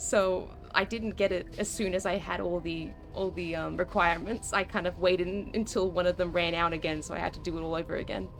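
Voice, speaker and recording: Fairly quick, flat, monotone speech from a woman with a fairly low pitch and an Australian accent, with music in the background. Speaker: video game streamer. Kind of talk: casual chat. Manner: halting.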